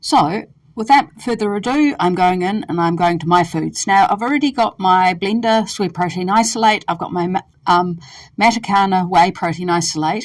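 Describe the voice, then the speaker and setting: A woman speaks at a moderate pace with a New Zealand accent, her pitch medium and its variation ordinary. The recording is very clean, with a silent background. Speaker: dietitian. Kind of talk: tutorial. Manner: hesitant, many fillers.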